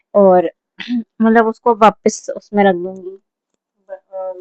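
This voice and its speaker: A woman's fairly high voice, monotone and flat, with a dry, close sound and no echo. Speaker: vlogger. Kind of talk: casual vlog talk. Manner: loud.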